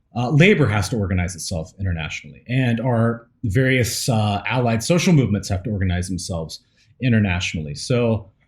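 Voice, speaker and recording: A man's fairly low, somewhat breathy voice with an American accent, at a fairly quick pace. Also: very clean recording, silent background. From US South, East Tennessee / Nashville. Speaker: podcast co-host. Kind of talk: casual chat. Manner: halting, many fillers.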